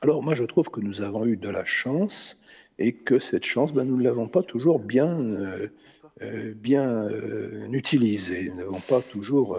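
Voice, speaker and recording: Using a medium pitch with vocal fry, a man talks fairly slowly with lively intonation. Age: 70s. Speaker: philosopher. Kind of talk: interview. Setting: stage with audience. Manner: halting, many hesitations.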